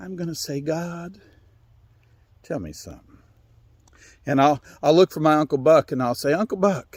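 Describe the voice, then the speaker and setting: A man with an Appalachian accent, fairly high in pitch with ordinary pitch variation, at a moderate pace with long, frequent pauses and big swings in loudness, in a dry, close sound with no echo on a very clean recording with a silent background. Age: 60s. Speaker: storyteller. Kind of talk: storytelling. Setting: outdoors.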